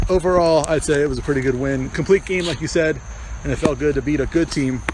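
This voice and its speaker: A man talks at a very fast pace, broken by long, frequent pauses. Noticeable background noise runs behind him. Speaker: podcast host and amateur softball player. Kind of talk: casual sports podcast chat. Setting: outdoors at ball field. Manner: halting, stuttering.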